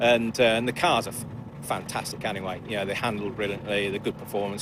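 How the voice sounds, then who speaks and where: The talking is fairly quick. Music can be heard behind it. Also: man. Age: 50s. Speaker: amateur racing driver. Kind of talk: paddock interview. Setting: race paddock. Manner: halting, many fillers.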